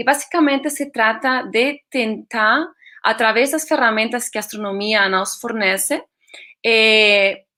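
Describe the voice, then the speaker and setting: A woman speaks with a Spanish accent at a fairly slow pace. Her tone is bright and sharp, her pitch fairly high with ordinary variation. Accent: Spanish-accented Portuguese, portunhol. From Spain. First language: Spanish (speaking Portuguese). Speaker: astronomer, science outreach project leader. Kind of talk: online presentation. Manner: hesitant, many fillers.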